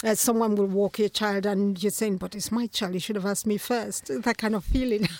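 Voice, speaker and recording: A woman speaks fairly quickly at a medium pitch with hardly any pauses and fairly even intonation. Noticeable background noise is present. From Nigeria. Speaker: playwright and photographer. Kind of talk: interview. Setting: studio.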